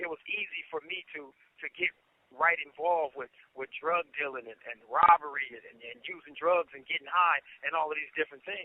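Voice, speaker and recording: This man has a normal speaking voice pitched fairly high and talks at a moderate pace. His loudness rises and falls sharply. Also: ordinary pitch variation. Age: 30s. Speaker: prison inmate. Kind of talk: personal life story told to camera.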